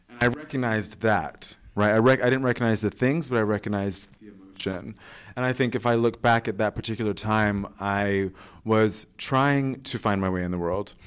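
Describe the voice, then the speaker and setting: Here a man with an American accent speaks at a fairly low pitch with ordinary pitch variation. The recording is very clean, with a silent background. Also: moderate pace. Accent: sounds American. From England, with US teen years. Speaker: podcast host. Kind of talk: casual chat. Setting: stage with audience.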